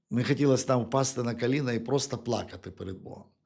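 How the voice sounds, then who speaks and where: A man speaks with vocal fry. His intonation is fairly even. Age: 50s. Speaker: preacher. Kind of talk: sermon. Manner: halting, with frequent repetitions.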